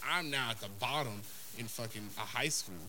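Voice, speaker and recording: With lively intonation and audible room echo, a man speaks at a moderate pace. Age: 30s. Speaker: podcast co-host. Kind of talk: casual chat.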